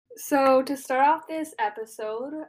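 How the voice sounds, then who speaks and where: Her pitch varies in an ordinary way at a fairly slow pace. A woman with a plain, everyday voice. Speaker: podcast host. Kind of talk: interview.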